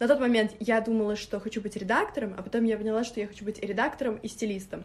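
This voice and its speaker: Against noticeable background noise, a woman with a fairly high voice talks very fast with fairly even intonation. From Moscow. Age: 20s. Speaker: stylist and blogger. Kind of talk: interview.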